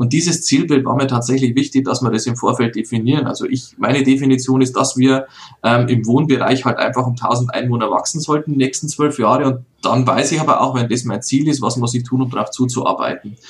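Talking at a fairly quick pace, a man with a medium pitch and fairly even intonation has a plain, everyday voice. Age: 30s. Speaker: mayor. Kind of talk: interview.

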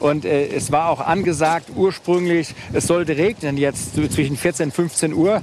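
Noticeable background noise sits behind a man with a fairly high pitch. He speaks at a fairly slow pace, with very even loudness and hardly any pauses. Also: fairly even intonation. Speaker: business executive with diabetes. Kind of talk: casual chat. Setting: outdoors.

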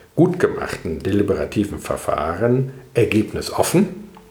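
A man speaks fairly slowly, with noticeable background noise in the recording. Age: 50s. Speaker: professor. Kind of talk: interview. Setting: institute office.

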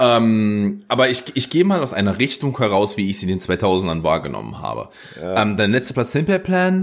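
In a very clean recording with a silent background, a man's voice makes very wide pitch swings. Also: medium pitch for a man, fairly quick pace. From Germany, Mansfelder Land (Saxony-Anhalt). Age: 30s. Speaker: podcast host. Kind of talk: casual chat.

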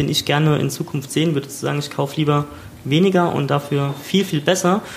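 A man talks in a plain, everyday voice at a fairly quick pace. His pitch is fairly high and his intonation fairly even. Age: 30s. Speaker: podcast host. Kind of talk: casual chat. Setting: recorded in a shop.

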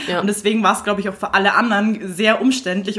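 Fairly quick female speech amid noticeable background noise. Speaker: podcast co-host. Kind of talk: casual chat. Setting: studio.

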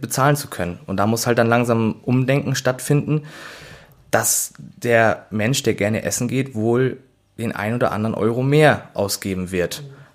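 At a medium pitch and moderate pace, a man speaks in a plain, everyday voice. His pitch varies in an ordinary way. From Schleswig-Holstein, northern Germany. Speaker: chef and delicatessen owner. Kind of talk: casual interview. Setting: at his shop.

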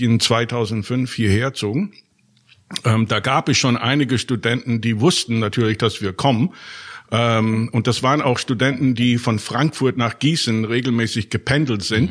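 In a very clean recording with a silent background, a man talks at a medium pitch with normal pitch movement. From Germany and Austria. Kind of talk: interview. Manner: hesitant, many fillers.

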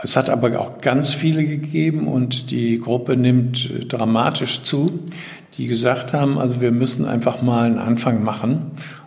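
Amid noticeable background noise and audible room echo, a man of medium pitch speaks at a fairly slow pace. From Germany, Düsseldorf. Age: 70s. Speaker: retired newspaper editor, environmental initiative founder. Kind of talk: interview.

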